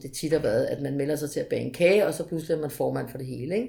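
A woman's dark, mellow voice with vocal fry and ordinary pitch variation. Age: 40s. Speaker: municipal sports consultant. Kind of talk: interview. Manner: hesitant with fillers.

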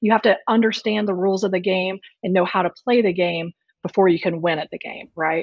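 At a fairly quick pace, a woman with an American accent, medium pitch and fairly even intonation speaks in an unremarkable speaking voice. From Texas Panhandle. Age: 40s. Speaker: venture capital investor. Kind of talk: interview.

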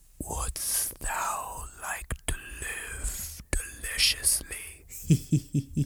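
In a put-on character voice, the speaker sounds raspy and talks at a very slow pace. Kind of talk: archaic, theatrical. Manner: sinister.

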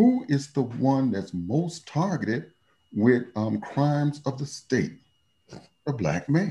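Speaking at a very slow pace with an American accent, a man uses lively intonation in a fairly high, somewhat breathy voice with a dark, mellow tone. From Chicago. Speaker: professor. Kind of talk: interview.

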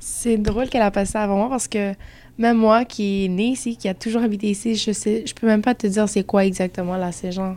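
A woman talks fairly quickly at medium pitch in a flat monotone, recorded very cleanly against a silent background. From Montreal, Quebec. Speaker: student. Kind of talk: group discussion.

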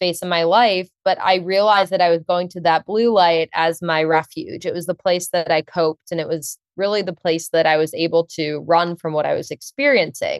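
In a normal speaking voice, a woman talks at a moderate pace and a fairly low pitch with ordinary pitch variation, the sound dry and close with no echo. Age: 20s. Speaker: nonprofit founder and mental health advocate. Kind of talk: interview.

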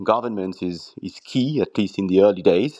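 This voice has a dark, mellow tone and a French accent. It moves at a moderate pace over a quiet background. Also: man. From southern France (Arles). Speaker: quantum computing executive. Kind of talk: interview. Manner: hesitant, repeats words.

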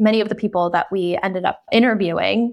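A normal speaking voice, this woman speaks at medium pitch with an American accent and ordinary pitch variation against a quiet background. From North Carolina, US South. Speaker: documentary filmmaker and writer. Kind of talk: interview.

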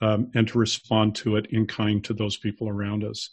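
A man with an American accent speaks at a fairly slow pace and medium pitch over a quiet background. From Salt Lake City, Utah. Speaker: author and church member. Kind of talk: casual interview.

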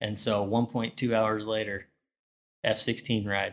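A man speaks in a monotone, flat way with an American accent. His pitch is fairly low, and the background is quiet. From northeastern Pennsylvania. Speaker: drilling engineer and Air Force veteran. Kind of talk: casual chat. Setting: studio.

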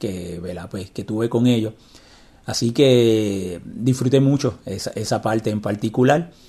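This man's voice has a dark, mellow tone. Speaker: podcast host, blind technology advocate. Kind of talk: interview.

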